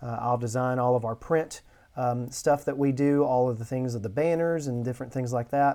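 A man speaks at a moderate pace with a dark, mellow tone, a medium pitch and fairly even intonation. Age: 40s. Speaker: education minister. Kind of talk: casual chat.

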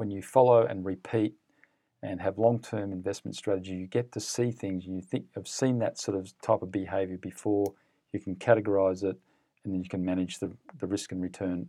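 Over a very clean recording with a silent background, a man with an Australian accent speaks fairly quickly in a very deep, low voice with a dark, mellow tone and fairly even intonation. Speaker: fund manager. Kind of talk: interview.

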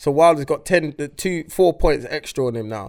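This is an unremarkable speaking voice, a man at fairly high pitch with ordinary pitch variation and a moderate pace. The recording is very clean and the background silent. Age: 30s. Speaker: podcast co-host. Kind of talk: casual chat.

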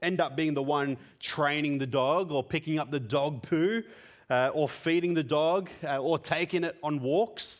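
A man with a fairly high pitch talks at a fairly slow pace. The recording is very clean, with a silent background. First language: Tamil. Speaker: preacher. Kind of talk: sermon. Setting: church.

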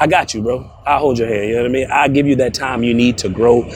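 There is noticeable background noise behind this man. He talks very fast at a medium pitch with fairly even intonation. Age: 30s. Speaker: roofing sales trainer. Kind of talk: interview. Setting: outdoors.

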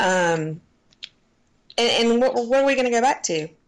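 At a fairly slow pace, a woman speaks with a Southern US accent. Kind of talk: casual chat.

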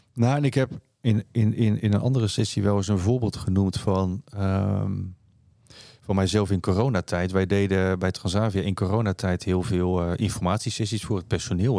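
A man speaks at a moderate pace with fairly low pitch and a dark, mellow tone. His intonation stays fairly even, on a very clean recording with a silent background. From Netherlands, near Rotterdam (South Holland). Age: 50s. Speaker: chief financial officer. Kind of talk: interview conversation.

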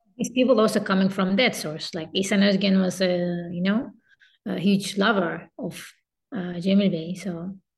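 Somewhat breathy, a woman talks at a moderate pace with a medium pitch and fairly even intonation. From Turkey. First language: Turkish. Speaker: kemenche musician and teacher. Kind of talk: interview.

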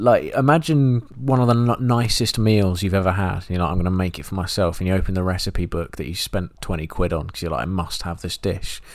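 A man with an English accent and a very deep, low voice, lively intonation, a fairly quick pace and hardly any pauses. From England. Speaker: film podcast co-host. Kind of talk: casual chat.

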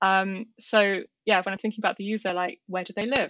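A woman speaks very fast in a British accent. Her pitch sits in the middle range, and her intonation stays fairly even. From UK. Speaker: software engineer. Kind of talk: casual chat.

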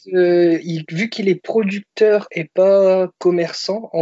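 Very slow pace with fairly even intonation. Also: man. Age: 20s. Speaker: car salesman. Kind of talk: casual chat. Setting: Skype call.

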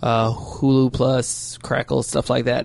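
Speaking fairly slowly, a man with a medium pitch is heard over noticeable background noise. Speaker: panelist. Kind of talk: casual group chat.

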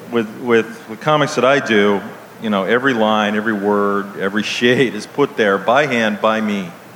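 A man with a fairly low pitch speaks at a moderate pace with fairly even intonation over noticeable background noise. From Ohio, US. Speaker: cartoonist and author. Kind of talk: live interview on stage. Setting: outdoor stage with audience.

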